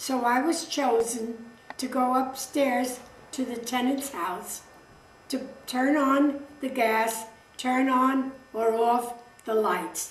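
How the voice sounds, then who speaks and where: A high-pitched woman's voice in a New York accent, fairly even in intonation, at a very slow pace with long, frequent pauses and audible room echo. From New York City (Brooklyn). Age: 90s. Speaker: interviewee recounting family history. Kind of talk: oral history interview. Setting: home interview filmed by her son.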